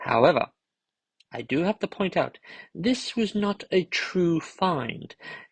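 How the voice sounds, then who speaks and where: A somewhat breathy man's voice. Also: dry, close sound with no echo. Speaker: toy collector YouTuber. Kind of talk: unboxing video. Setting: at home late at night. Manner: soft-spoken.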